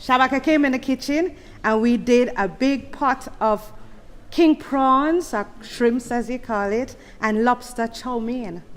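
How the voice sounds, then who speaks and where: This woman has a high-pitched voice with ordinary pitch variation. She speaks at a fairly slow pace. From Jamaica. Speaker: mourner, deceased's sister-in-law. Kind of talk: eulogy speech. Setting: funeral service with audience. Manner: conversational.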